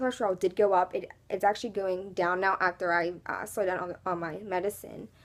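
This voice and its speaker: A woman with an American accent and a medium pitch speaks at a fairly quick pace. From US, Pittsburgh. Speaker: beauty vlogger. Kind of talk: casual personal vlog talk. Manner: hesitant, many fillers.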